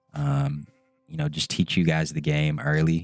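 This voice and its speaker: A man with a very deep, low pitch speaks in a flat monotone at a moderate pace. Music plays in the background. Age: 20s. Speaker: finance content creator. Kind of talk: casual explainer while gaming. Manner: casual, filler words.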